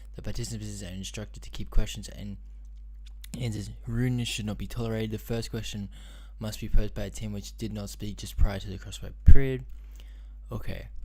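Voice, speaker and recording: Audible room echo surrounds a man's very deep, low, dark and mellow voice, delivered in a monotone, flat intonation at a fairly quick pace. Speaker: livestreamer. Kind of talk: live stream, reading task instructions aloud. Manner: fast; halting, many fillers.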